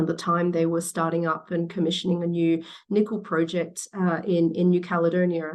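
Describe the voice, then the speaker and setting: A woman with an Australian accent, fairly low pitch, monotone, flat intonation, very even loudness and a moderate pace. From Western Australia, Perth. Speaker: battery industry executive. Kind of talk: interview. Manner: halting, many fillers and repeats.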